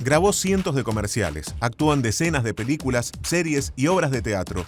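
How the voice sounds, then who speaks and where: A man's voice with very wide pitch swings, over background music. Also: medium pitch for a man, moderate pace. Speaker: podcast host. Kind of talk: podcast guest introduction.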